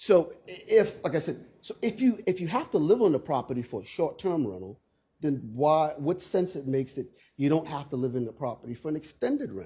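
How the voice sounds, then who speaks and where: This dark, mellow voice with vocal fry moves at a fairly quick pace, with very wide pitch swings and big swings in loudness. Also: man, fairly high pitch for a man. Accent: American. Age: 60s. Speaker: local resident speaking at zoning hearing. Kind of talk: public hearing testimony. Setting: public meeting room.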